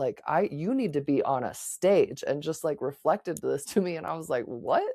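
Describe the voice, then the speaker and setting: A woman speaks in a very deep, low voice with a dark, mellow tone. The background is quiet. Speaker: podcast host. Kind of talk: casual chat.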